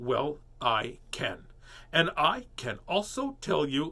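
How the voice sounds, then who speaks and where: Putting on a character voice, a man speaks very slowly at a fairly high pitch with lively intonation. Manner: stern, clipped, a full stop after each word.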